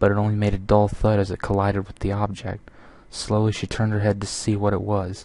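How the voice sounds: This is a natural reading voice. The text is read aloud as written.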